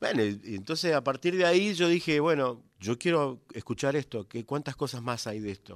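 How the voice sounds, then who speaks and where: A man with a plain, everyday voice, fairly high-pitched, at a moderate pace, on a very clean recording with a silent background. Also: hardly any pauses. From Argentina, Coronda (Santa Fe). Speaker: folk singer and multi-instrumentalist. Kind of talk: radio interview. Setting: radio studio.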